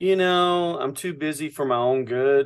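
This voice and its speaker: A man speaks at a very slow pace. The background is quiet. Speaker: talk host. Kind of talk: casual call small talk. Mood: lightly flustered, good-humored. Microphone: video call.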